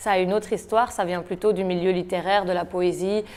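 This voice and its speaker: Her medium-pitched voice moves at a fairly quick pace, and the woman keeps a flat, monotone intonation. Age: 20s. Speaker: slam poet. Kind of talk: interview.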